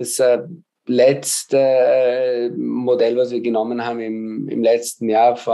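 A man's voice has a dark, mellow tone at medium pitch, with monotone, flat intonation. He speaks at a very slow pace. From Austria, Vienna. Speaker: mathematics professor. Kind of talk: interview. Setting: video call. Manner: hesitant, many filler sounds.

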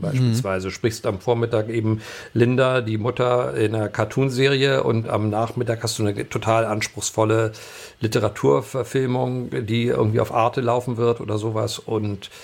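A man's voice with vocal fry and fairly even intonation at a moderate pace. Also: medium pitch for a man, few pauses.

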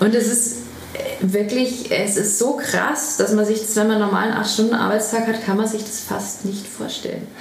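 A voice speaks in a flat monotone at a moderate pace. The room echo is audible and background noise is noticeable. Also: woman, fairly high pitch for a woman. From Bavaria, Traunstein. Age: 40s. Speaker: vegetarian restaurant owner. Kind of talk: interview. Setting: restaurant. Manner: loud.

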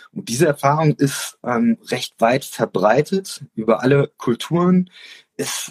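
Somewhat breathy and fairly high-pitched, a man talks at a very slow pace with very wide pitch swings, recorded with a dry, close sound and no echo. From Offenbach, Hesse, Germany. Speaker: podcast host, teacher. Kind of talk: casual chat. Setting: Instagram live video call. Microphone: poor livestream audio.

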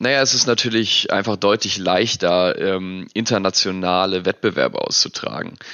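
Intonation stays fairly even and loudness very even as the speaker talks at a moderate pace. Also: man, fairly low pitch for a man. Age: 20s. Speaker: esports world champion gamer. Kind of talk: interview. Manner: hesitant with fillers.

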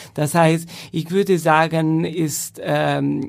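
At a very slow pace, a man talks in a fairly high pitch. His intonation is fairly even. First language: Italian (speaking German). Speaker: professional chamber musician. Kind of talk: casual interview.

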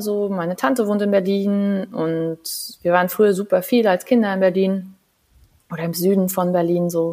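A woman with a medium-pitched voice talks at a fairly slow pace. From Saarland, Germany. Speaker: physiotherapist, former handball athlete. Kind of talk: casual interview. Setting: video call from her living room.

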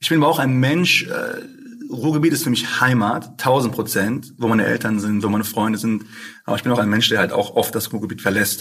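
A man's plain, everyday voice at medium pitch, fairly quick, with ordinary pitch variation. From Ruhr area, Essen. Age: 20s. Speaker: rapper. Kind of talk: casual interview.

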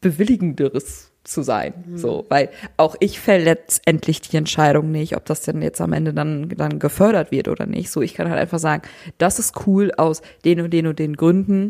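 A woman's fairly low voice at a fairly slow pace. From northwest Germany, Emsland. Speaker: podcast co-host. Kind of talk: casual chat.

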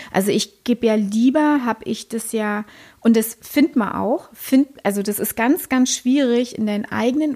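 A woman's fairly high voice at a moderate pace, an unremarkable speaking voice. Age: 40s. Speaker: podcast co-host. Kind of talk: casual chat.

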